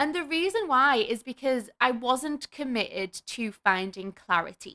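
Speaking at a fairly slow pace, a woman with a high pitch and a bright, sharp tone comes through in a dry, close sound with no echo. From northern England. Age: 30s. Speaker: podcast host and life coach. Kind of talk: solo podcast monologue. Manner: upbeat, enthusiastic.

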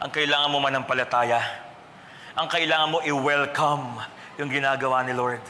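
A man's fairly high voice with long, frequent pauses, amid noticeable background noise and audible room echo. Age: 40s. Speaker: pastor. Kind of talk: sermon. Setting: church. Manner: animated.

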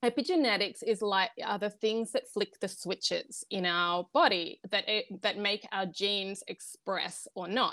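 A woman speaks with an Australian accent at a medium pitch, her tone bright and sharp, with ordinary pitch variation and a fairly slow pace with hardly any pauses. The recording is very clean with a silent background, and the sound is dry and close with no echo. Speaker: wellness coach. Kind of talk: interview.

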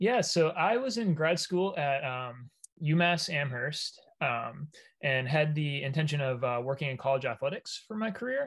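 Somewhat breathy male voice with lively intonation. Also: fairly high pitch for a man, moderate pace. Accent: American. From Maine, US. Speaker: hazing prevention researcher. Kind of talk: interview.

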